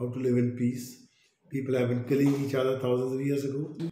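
Audible room echo surrounds the recording. A man speaks with monotone, flat intonation. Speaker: interviewee. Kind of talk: interview answer. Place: office.

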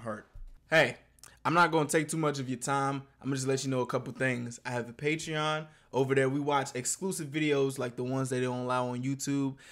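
Over a quiet background, a man talks with fairly even intonation at a fairly quick pace. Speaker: reaction youtuber. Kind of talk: casual vlog chat.

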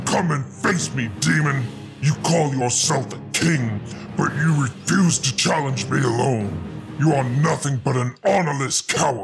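A man at medium pitch does a put-on character voice with lively intonation at a moderate pace over clear music in the background. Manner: roaring, angry.

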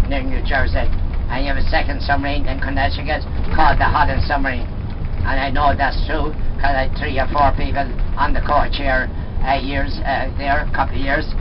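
Noticeable background noise is present. Over it, a man speaks fairly quickly. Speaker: tour guide. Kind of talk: live tour guide commentary on a coach. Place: bus.

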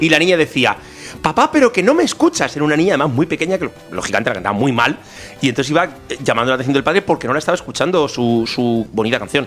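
Against music in the background, a man talks at a fairly high pitch and a very fast pace. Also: lively intonation. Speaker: podcast co-host. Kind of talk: casual talk show conversation.

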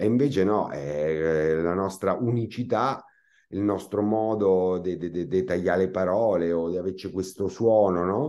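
A man with a Marche accent speaks at a fairly slow pace against a quiet background. His very deep, low voice has a dark, mellow tone and ordinary pitch variation. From Marche, Italy. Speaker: comic actor. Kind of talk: interview. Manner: hesitant, with many fillers. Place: home room. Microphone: video call.

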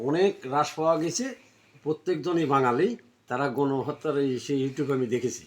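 This man's voice sits fairly high and shows ordinary pitch variation. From Bangladesh, Pabna district. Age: 50s. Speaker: migrant worker. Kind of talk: interview testimony. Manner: halting.

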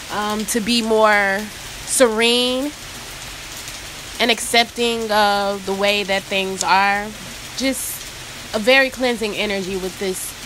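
Noticeable background noise runs under a woman speaking at a very slow pace. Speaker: oracle card reader. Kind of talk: casual spiritual reading talk. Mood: calm, soothed. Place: rain. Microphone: phone near.

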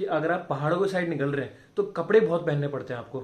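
A man at a very fast pace. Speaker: vlogger. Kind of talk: casual vlog chat. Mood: cheerful, joking. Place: home room. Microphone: phone near.

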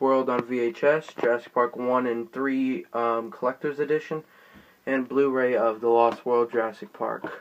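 Fairly even intonation and a moderate pace mark this man's speech. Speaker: toy collector showing collection. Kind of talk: collection showcase. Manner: subdued, low energy; halting with fillers. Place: home room. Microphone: phone near.

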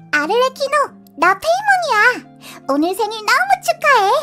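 A put-on character voice, extremely high and cheerful, at a moderate pace over faint music in the background. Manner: cheerful, excitable.

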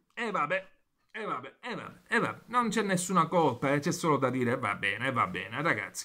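The voice has a bright, sharp tone with vocal fry, moving at a fairly quick pace through very wide pitch swings. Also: man. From Italy. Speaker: football commentator and YouTuber. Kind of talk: angry football rant, venting at the camera about Juventus. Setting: home video recording, neighbours nearby. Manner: furious, loud, swearing constantly, repeating phrases, rapid and breathless, exasperated; excitable, chatty, talking directly to viewers. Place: home room. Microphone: phone near.

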